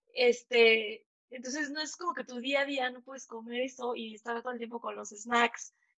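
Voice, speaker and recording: High pitch from a woman, fairly even intonation and a moderate pace. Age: 30s. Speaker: entrepreneur. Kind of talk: interview.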